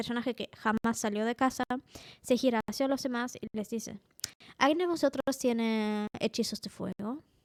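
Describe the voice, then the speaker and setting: A woman talks at a moderate pace in a fairly high pitch. Her intonation is fairly even, and the sound is dry and close with no echo. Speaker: tabletop role-playing game master and YouTuber. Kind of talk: improvised tutorial monologue. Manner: casual, with frequent filler sounds.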